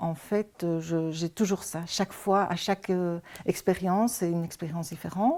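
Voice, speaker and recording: A woman speaks at a fairly slow pace with a dark, mellow tone. The recording is very clean, with a silent background. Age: 60s. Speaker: emergency foster carer. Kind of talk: testimony. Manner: halting.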